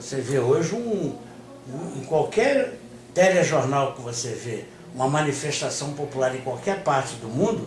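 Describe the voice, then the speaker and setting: Amid audible room echo and noticeable background noise, a man speaks at a fairly slow pace with lively intonation and big swings in loudness. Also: fairly high pitch for a man. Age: 60s. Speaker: communist party leader. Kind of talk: interview. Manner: hesitant, many fillers.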